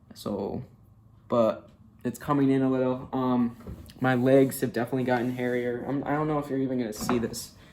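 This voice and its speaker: Noticeable background noise sits behind a man talking at a fairly quick pace in a monotone, flat intonation. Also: medium pitch for a man. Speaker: vlogger. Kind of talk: casual video diary. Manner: casual, filler-heavy.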